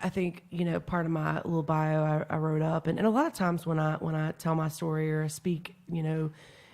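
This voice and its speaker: At a moderate pace, a woman talks at a fairly low pitch in a very clean recording with a silent background. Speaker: person in addiction recovery. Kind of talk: podcast interview. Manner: loud.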